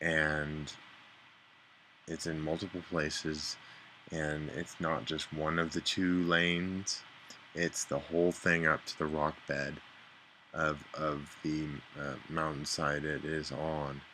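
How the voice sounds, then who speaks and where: A man's very deep, low mumbling at a very slow pace, monotone and flat, with long, frequent pauses. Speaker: vlogger. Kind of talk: casual video diary. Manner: halting, mumbling.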